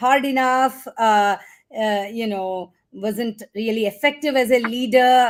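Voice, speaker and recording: An ordinary speaking voice moves at a fairly slow pace with fairly even intonation on a very clean recording with a silent background. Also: woman. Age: 60s. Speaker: venture capitalist. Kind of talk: panel discussion. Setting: livestream.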